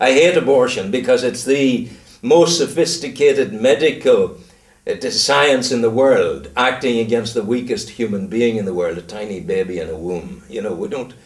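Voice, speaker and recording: With a Northern Irish accent, a man speaks at a medium pitch and a moderate pace. His pitch swings very widely, and vocal fry runs through his voice. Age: 70s. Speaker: retired broadcaster. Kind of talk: casual interview chat. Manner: animated.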